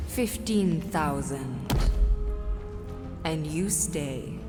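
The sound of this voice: Over loud background music, a woman speaks very slowly in a put-on character voice, low-pitched with lively intonation.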